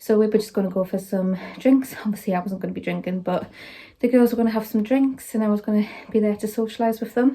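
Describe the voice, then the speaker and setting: A dark, mellow, somewhat breathy voice at a very fast pace, with fairly even intonation. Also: woman, fairly high pitch for a woman. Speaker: vlogger. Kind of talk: casual vlog chat.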